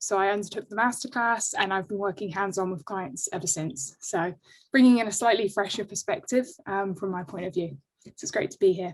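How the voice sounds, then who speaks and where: Intonation is lively as a woman speaks at a fairly quick pace. Her pitch sits in the medium range. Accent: London. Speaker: organization design consultant. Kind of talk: webinar self-introduction. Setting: video call.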